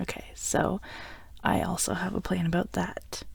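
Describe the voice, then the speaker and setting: A woman speaks in a warm, playful tone at medium pitch, with vocal fry. Her pitch varies in an ordinary way. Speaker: voice actor, audio roleplay performer. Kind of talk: audio roleplay, scripted romantic ASMR. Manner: warm, playful, comforting, affectionate.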